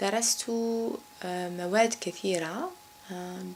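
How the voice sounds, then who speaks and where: With noticeable background noise behind her, a woman with an Algerian accent speaks with fairly even intonation. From Algeria, Kabylie. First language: Kabyle (speaking French). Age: 30s. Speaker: banker. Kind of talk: interview. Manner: halting, many fillers.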